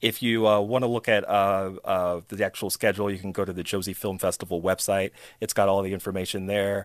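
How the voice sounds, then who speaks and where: A man with an American accent, fairly low and monotone, at a fairly quick pace with hardly any pauses, in a very clean recording with a silent background. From US, Chicago. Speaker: film director. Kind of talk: interview.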